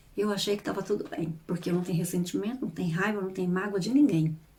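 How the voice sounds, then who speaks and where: Somewhat breathy and with a dark, mellow tone, a woman talks at a very fast pace with a medium pitch. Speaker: YouTuber and therapist. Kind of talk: casual vlog talk.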